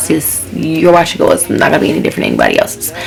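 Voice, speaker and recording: A woman's voice with music in the background. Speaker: YouTuber, natural hair vlogger. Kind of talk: casual vlog talk to camera. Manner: fast.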